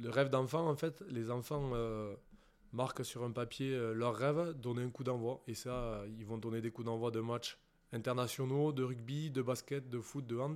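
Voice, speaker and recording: Slowish in pace, a man speaks at a medium pitch with fairly even intonation. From southwest France, Béarn (Pyrénées-Atlantiques). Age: 30s. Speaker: professional rugby player. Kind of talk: casual interview. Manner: hesitant, many fillers and repetitions.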